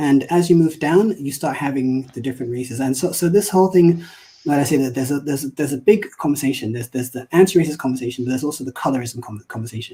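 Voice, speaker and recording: A man's somewhat breathy voice, dark and mellow in tone yet fairly high in pitch, at a very fast pace with hardly any pauses. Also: ordinary pitch variation. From London, England. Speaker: diversity commentator. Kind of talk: casual interview. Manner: halting, many repetitions and fillers.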